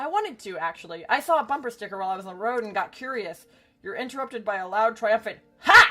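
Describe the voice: Lively intonation carries this plain reading aloud.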